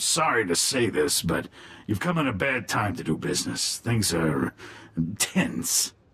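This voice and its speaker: In a put-on character voice, a man talks slowly-ish at a fairly slow pace, raspy and fairly low in pitch. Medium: video game. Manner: smooth, urbane.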